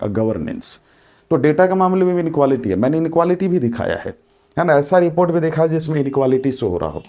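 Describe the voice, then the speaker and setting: Lively intonation runs through this dark, mellow tone. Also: man. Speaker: exam coaching teacher. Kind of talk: lecture.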